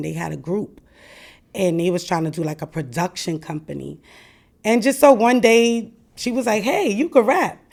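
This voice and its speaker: A woman talks with a New York accent. Her intonation is lively. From Brooklyn, New York. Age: 40s. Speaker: former rapper and host. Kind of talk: interview.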